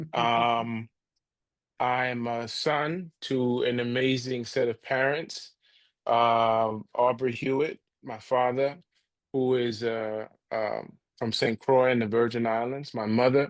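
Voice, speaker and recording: At a very slow pace, a man speaks with medium pitch and fairly even intonation. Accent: American. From New Jersey, US (tri-state area). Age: 40s. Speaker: nonprofit and higher education leader. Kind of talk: podcast interview. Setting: podcast recording.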